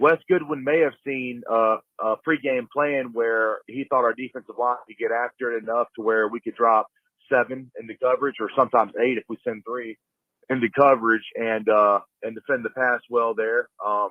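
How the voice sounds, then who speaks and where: A man speaks at a medium pitch and a moderate pace. His loudness swings widely from moment to moment. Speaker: caller leaving a voicemail. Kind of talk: phone voicemail, casual fan commentary. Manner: halting, many fillers and repeats.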